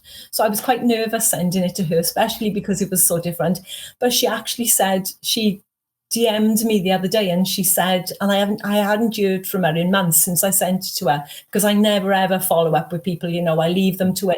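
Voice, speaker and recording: Very clean and silent in the background, this recording has a woman speaking in a Welsh accent at a medium pitch. Her voice is somewhat breathy, her pace fairly quick, and her pitch variation ordinary. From Wales. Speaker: author. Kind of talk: interview.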